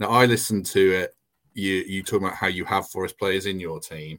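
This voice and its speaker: Fairly quick speech from a man with a fairly low pitch and ordinary pitch variation. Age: 40s. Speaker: podcast host. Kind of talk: casual chat. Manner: bumbling, halting.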